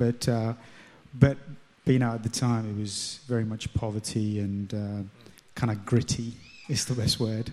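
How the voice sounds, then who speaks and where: With an English accent, a man speaks fairly slowly at a medium pitch, his tone dark and mellow and his intonation fairly even. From London, England. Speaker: churchgoer sharing faith story. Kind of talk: testimony. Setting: stage with audience.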